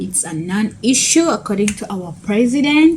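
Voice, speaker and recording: Through noticeable background noise, a woman talks with lively intonation. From Kenya. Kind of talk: casual talk to camera.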